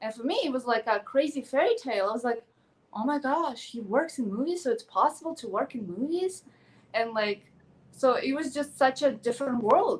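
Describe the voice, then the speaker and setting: Speaking in a Ukrainian accent, a woman uses a high pitch and lively intonation. Her pace is fairly quick. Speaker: actress and pageant contestant. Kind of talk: interview. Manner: animated.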